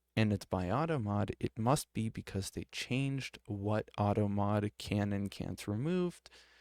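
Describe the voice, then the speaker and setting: The speech is quiet and fairly slow with ordinary pitch variation, in a dry, close sound with no echo, on a very clean recording with a silent background. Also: man. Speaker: streamer. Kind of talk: casual commentary while reading a screen. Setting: at home with others in the house. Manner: quiet, keeping voice down; hesitant, many fillers.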